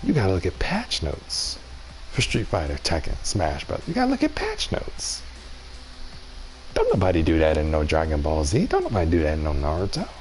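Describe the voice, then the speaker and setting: A soft-spoken man whispering at a fairly quick pace over noticeable background noise. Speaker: gaming streamer. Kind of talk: live stream commentary. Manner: soft-spoken, whispering.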